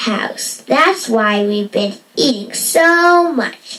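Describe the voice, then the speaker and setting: This is a female-sounding, cartoonish character voice with a high pitch. It moves at a very slow pace. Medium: puppet show. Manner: eager, chatty.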